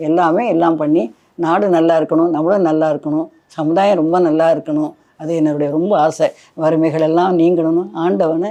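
A woman with a dark, mellow tone and fairly low pitch speaks at very even loudness with fairly even intonation. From Kumbakonam, Tamil Nadu. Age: 70s. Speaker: saree weaver and entrepreneur. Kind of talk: life story interview.

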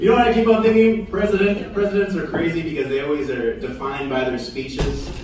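A man at a fairly quick pace, amid strong room echo and noticeable background noise. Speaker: stand-up comedian. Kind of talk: stand-up comedy. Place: bar.

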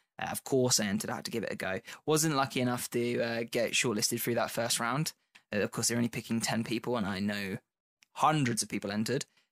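A man's very fast speech with a British accent, dry and close with no echo. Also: medium pitch for a man, fairly even intonation, very clean recording, silent background. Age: 20s. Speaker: podcast host. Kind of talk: casual chat.

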